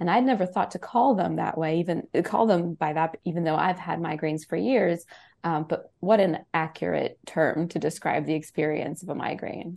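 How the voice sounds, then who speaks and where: Over a quiet background, a woman with vocal fry and a fairly low pitch talks at a moderate pace with hardly any pauses and ordinary pitch variation. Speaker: science reporter. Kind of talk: radio interview.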